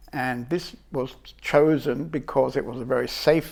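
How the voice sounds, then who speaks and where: In a very clean recording with a silent background, a man with a British accent speaks at medium pitch with fairly even intonation. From England. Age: 70s. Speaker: spiritual teacher. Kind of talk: life story interview. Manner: reflective, hesitant.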